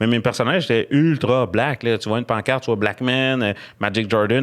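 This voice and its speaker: A man with a strong Quebec accent talks at a fairly quick pace, his medium-pitched voice keeping fairly even intonation. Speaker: comedian. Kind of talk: casual chat.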